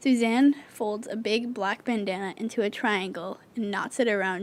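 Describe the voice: The clip is plain reading aloud.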